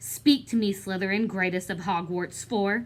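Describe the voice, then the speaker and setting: Doing a put-on character voice, a woman speaks at a medium pitch and a moderate pace. Clear background noise and hissing run through the clip. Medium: read story. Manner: hissing, sneering.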